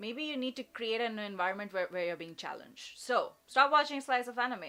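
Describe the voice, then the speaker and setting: A bright, sharp tone marks this female voice. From India. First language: an Indian language. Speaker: vtuber streamer. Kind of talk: casual advice livestream chat.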